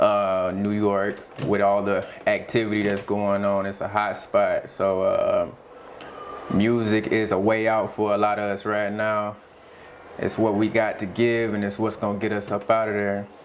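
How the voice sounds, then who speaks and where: In an American accent, a man with a fairly low pitch speaks at a moderate pace in a monotone, flat way. Audible room echo and noticeable background noise are present. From US South, Jacksonville, Florida. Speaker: rapper. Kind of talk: interview. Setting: studio.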